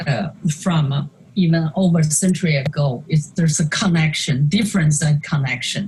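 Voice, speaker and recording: A woman with a Chinese accent speaks at a fairly low pitch with ordinary pitch variation. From China. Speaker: artist. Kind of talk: interview conversation presenting slides. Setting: video call. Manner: halting with many fillers.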